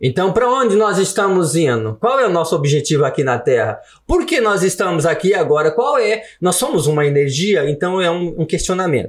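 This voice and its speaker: This man has a high pitch and very wide pitch swings in an animated tone. He keeps a moderate pace and very even loudness with hardly any pauses. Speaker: author and former teacher. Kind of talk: podcast interview.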